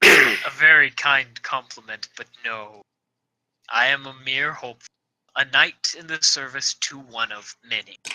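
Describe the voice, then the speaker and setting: Putting on a character voice, a man booms in a resonant, medium-pitched voice at a moderate pace. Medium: actual play. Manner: formal, courtly.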